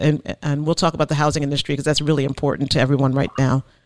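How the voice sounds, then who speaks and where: A woman with a New Jersey accent and a very deep, low pitch. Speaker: real estate podcast host. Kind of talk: interview. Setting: remote call.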